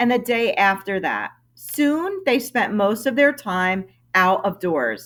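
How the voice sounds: Natural reading voice, its intonation lively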